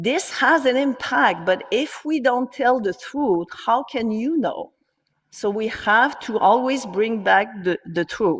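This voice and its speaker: A woman with a French accent speaks at a high pitch and a very slow pace. Her intonation is lively. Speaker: gynecologist. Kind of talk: conference talk. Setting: online conference.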